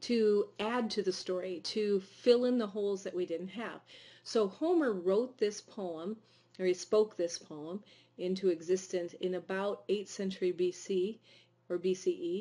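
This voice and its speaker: A woman's medium-pitched, dark, mellow voice at a fairly slow pace with ordinary pitch variation, over a quiet background. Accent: Midwestern. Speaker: teacher. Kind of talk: lecture. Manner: hesitant, many fillers.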